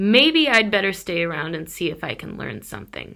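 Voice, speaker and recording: A woman's raspy put-on character voice at medium pitch and a fairly quick pace, full of very wide pitch swings and big swings in loudness. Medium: read story. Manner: muttering to himself.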